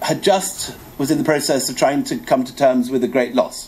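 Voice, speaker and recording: A man's voice with very wide pitch swings at a moderate pace. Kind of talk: lecture. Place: hall. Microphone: podium.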